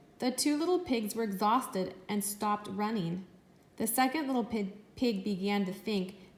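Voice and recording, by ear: In a natural voice, someone is reading aloud, the pitch moving in an ordinary way.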